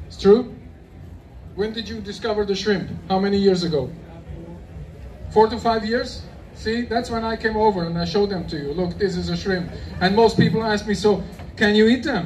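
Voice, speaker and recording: Amid noticeable background noise and audible room echo, a man with a high pitch speaks with long, frequent pauses. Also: ordinary pitch variation, moderate pace. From Germany. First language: German. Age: 50s. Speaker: shrimp expert speaker. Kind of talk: expo talk to audience. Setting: stage with audience at expo. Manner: casual, halting non-native English.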